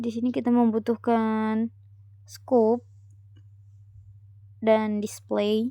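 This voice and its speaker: A woman speaks with a fairly high pitch and a dark, mellow tone. Her very slow, monotone, flat delivery has long, frequent pauses. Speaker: university student. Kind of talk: tutorial. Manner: casual.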